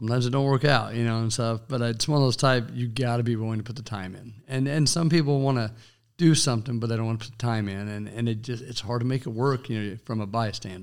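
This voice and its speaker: A man's medium-pitched voice with a Kansas accent, very fast with hardly any pauses and fairly even intonation. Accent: US Midwest (Kansas). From western Kansas, US. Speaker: small business owner and city commissioner. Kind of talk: interview.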